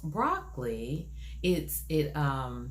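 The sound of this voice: The voice has a creaky vocal fry and swings widely in pitch. Echo from the room is clearly audible. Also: woman.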